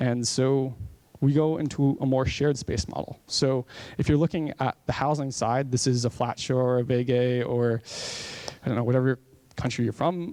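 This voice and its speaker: Using an American accent, a man speaks in an unremarkable speaking voice at medium pitch. His pace is moderate and his intonation fairly even. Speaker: conference speaker. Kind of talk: conference talk. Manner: casual, with many fillers.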